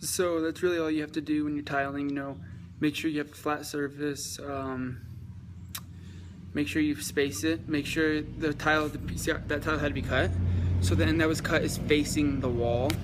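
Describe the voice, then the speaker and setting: At a moderate pace, a man speaks in an ordinary speaking voice, with a fairly high pitch and ordinary pitch variation. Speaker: DIY tiling tutorial maker. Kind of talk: tutorial. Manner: casual with many fillers.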